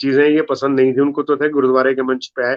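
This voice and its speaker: A man with a Punjabi accent and a fairly high pitch. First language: Punjabi (speaking Hindi). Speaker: comedy poet. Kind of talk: interview.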